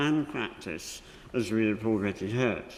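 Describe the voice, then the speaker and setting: Lively intonation marks a man speaking with a British accent. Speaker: member of the House of Lords. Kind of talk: parliamentary speech. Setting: parliamentary chamber. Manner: slower than usual; formal.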